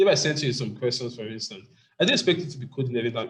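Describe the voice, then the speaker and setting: This man's voice is somewhat breathy and sits at medium pitch. His pitch varies in an ordinary way. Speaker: programming teacher. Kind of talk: online class Q&A. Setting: video call. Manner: fast.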